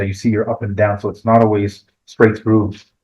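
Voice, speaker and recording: Somewhat breathy, a man with a fairly low pitch talks at a fairly quick pace. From Quebec, Canada. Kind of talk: book launch presentation. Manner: halting, many fillers and repeats.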